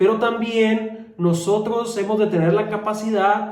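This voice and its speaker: The speech is very slow. Room echo can be heard. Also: man. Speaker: friar preacher. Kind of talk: homily.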